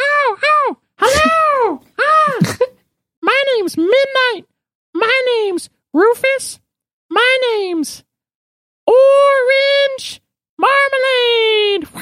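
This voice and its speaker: A put-on character voice at an extremely high pitch crawls along at a very slow pace, broken by long, frequent pauses. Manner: cheerful, excited.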